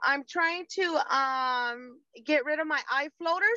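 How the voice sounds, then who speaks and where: A woman speaks in a raised, projected voice with a bright, sharp tone and lively intonation. Her pace is very slow, and the sound is dry and close with no echo. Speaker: caller. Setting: video call.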